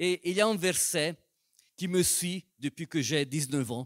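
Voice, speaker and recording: With a non-native accent, a man with a fairly high voice speaks at a fairly slow pace, recorded very cleanly against a silent background with a dry, close sound and no echo. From Italian-speaking Switzerland. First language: Italian (speaking French). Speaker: pastor. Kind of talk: sermon. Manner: slow, careful.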